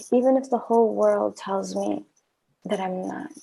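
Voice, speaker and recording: A woman is speaking at a moderate pace. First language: not English. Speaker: podcast host. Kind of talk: casual chat.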